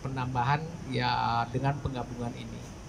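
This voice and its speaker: A man over noticeable background noise. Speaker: telecom brand sales manager. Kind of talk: press event presentation. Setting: media gathering event. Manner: halting, many fillers.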